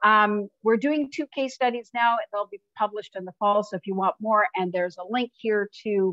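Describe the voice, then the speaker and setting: This woman has a fairly high pitch, ordinary pitch variation and a moderate pace. Her loudness swings widely, and she hardly pauses. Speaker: researcher presenting findings. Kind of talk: webinar presentation. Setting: online webinar. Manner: hesitant, many fillers.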